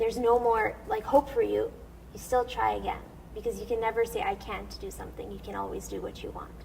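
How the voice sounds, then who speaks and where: A woman talks at a fairly quick pace with big swings in loudness. Noticeable background noise sits behind her. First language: Assyrian. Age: young. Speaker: soprano singer. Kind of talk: interview.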